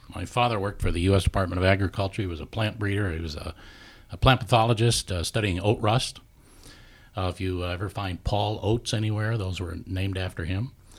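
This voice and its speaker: Over a very clean recording with a silent background, a man with an American accent talks very fast in a somewhat breathy voice with a fairly low pitch. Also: fairly even intonation. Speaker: radio farm broadcaster, extension staff. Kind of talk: casual interview chat.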